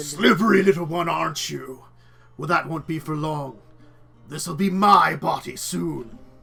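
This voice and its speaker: Over faint background music, a man does a raspy, put-on character voice at a fairly high pitch and a moderate pace. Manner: menacing.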